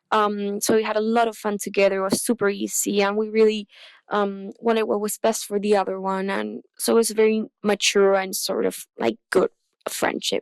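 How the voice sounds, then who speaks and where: A woman with a Chilean accent talks at a moderate pace and medium pitch with monotone, flat intonation. The sound is dry and close with no echo, on a very clean recording with a silent background. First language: Spanish. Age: 20s. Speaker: listener sending in a question. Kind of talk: recorded voice message.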